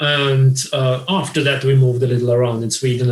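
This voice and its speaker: A man's voice comes across as somewhat breathy. He keeps a moderate pace. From Austria, Vienna. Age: 40s. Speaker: crochet designer and blogger. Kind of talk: interview. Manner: halting, many repetitions.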